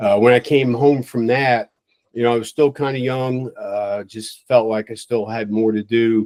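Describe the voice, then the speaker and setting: With an American accent, an ordinary speaking voice moves at a fairly slow pace with fairly even intonation in a dry, close sound with no echo. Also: man. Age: 60s. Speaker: retired fire chief. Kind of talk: interview.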